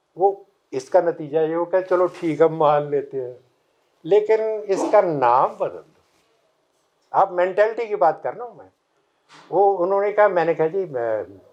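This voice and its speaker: A man with a high pitch talks with ordinary pitch variation, long, frequent pauses and big swings in loudness. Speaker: professor. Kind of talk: lecture. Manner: halting.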